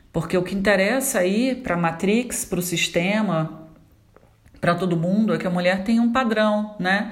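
Over noticeable background noise and audible room echo, a woman speaks at a moderate pace in a medium pitch with ordinary pitch variation. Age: 40s. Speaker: therapist. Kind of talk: solo vlog monologue. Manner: conversational, frequent hesitations.

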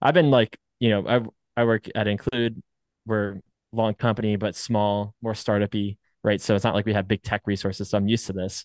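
With a plain, everyday voice, a man speaks at a fairly quick pace and fairly low pitch, his intonation fairly even, in a dry, close sound with no echo over a quiet background. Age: 30s. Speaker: podcast co-host, software company employee. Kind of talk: casual chat. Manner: casual, filler-heavy.

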